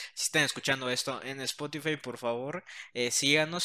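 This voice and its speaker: A man speaks at a moderate pace in a medium pitch. His tone is bright and sharp. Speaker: podcast co-host. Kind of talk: casual chat.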